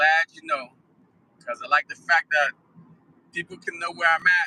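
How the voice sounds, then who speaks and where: Speaking at a moderate pace, a man swings widely in loudness, with a dry, close sound and no echo. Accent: New York. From New York. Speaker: live streamer. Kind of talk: casual chat. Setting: in a car.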